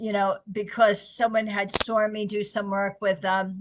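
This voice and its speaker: Someone with a New York accent speaks at a moderate pace. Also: woman. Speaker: psychic medium. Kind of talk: interview. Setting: radio show.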